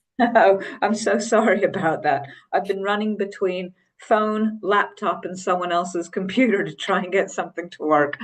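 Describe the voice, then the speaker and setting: A woman with a normal speaking voice talks at a moderate pace at medium pitch with fairly even intonation. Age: 50s. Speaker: criminology professor. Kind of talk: panel discussion.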